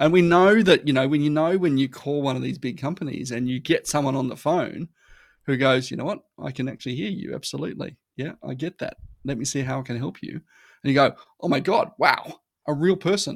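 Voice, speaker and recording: Speaking fairly quickly with an Australian accent, a man uses a fairly high pitch, ordinary pitch variation and vocal fry. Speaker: marketing consultant. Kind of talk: casual chat. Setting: remote recording. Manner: repetitive, halting restarts.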